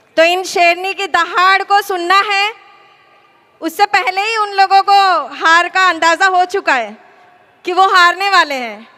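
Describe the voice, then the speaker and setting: With noticeable background noise, a woman speaks in a gentle tone at an extremely high pitch, leaving long, frequent pauses. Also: ordinary pitch variation. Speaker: political candidate, lawyer. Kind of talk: campaign rally speech. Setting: stage with audience.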